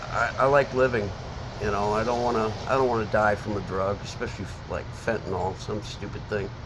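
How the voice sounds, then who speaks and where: An American-accented man at fairly low pitch, fairly quick in pace and fairly even in intonation, amid noticeable background noise and audible room echo. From Seattle area, Washington. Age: 60s. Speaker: homeless man interviewed on the street. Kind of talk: street interview. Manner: halting, many fillers and restarts.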